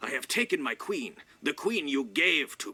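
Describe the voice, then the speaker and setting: This man puts on a character voice. His pitch sits high. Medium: video game. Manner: terse, menacing.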